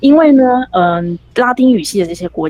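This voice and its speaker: A woman speaks at a moderate pace in a normal speaking voice, the sound dry and close with no echo. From Taiwan. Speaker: author. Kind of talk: interview. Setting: remote call.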